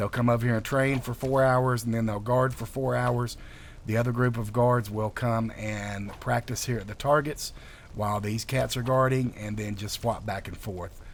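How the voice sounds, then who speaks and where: This man speaks with a Southern US accent at a medium pitch. His intonation stays fairly even. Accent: southern drawl. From North Carolina, US South. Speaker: video game modder. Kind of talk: gameplay walkthrough commentary. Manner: relaxed, many filler words.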